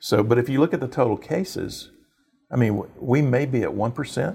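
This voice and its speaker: A man with a Texan accent, his medium-pitched voice dark, mellow and somewhat breathy, at a moderate pace with ordinary pitch variation, on a very clean recording with a silent background. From Texas, Houston area. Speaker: mayor. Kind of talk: interview. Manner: halting, many fillers.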